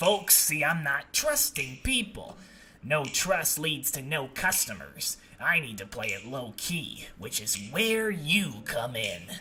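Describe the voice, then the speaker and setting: A man's put-on character voice, fairly high in pitch, with very wide pitch swings at a fairly slow pace. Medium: solo performance.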